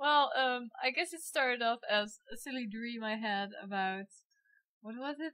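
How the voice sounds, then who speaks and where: A woman with a Dutch accent speaks at a moderate pace and high pitch, with ordinary pitch variation and big swings in loudness. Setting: poor quality microphone.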